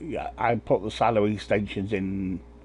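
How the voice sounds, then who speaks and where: A fairly low male voice with vocal fry and an English accent. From England. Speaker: gaming streamer. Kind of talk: live gameplay commentary. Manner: casual, rambling with fillers.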